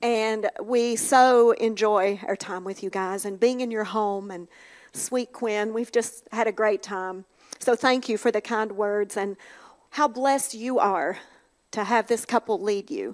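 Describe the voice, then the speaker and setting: A woman with an Appalachian accent, fairly high in pitch, at a fairly slow pace with fairly even intonation. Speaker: minister's wife. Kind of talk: devotional talk. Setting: church.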